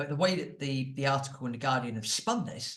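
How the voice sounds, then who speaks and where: With a British accent, a man speaks at a moderate pace in a medium-pitched, somewhat breathy voice with ordinary pitch variation, and the room echo is audible. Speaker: property podcast host. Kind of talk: commentary monologue. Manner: animated.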